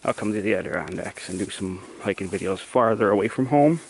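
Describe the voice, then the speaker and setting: The speech runs at a fairly quick pace with noticeable background noise behind it. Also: man. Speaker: hiking vlogger. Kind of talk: casual vlog narration while hiking. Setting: outdoors on a forest trail.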